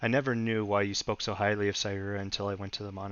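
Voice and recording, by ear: The clip is reading aloud in a natural voice.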